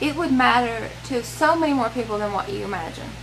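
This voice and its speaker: A woman's high-pitched voice with lively intonation in a Southern US accent, music playing in the background. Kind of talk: casual talk to camera, personal vlog. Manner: earnest, emotional, hesitant.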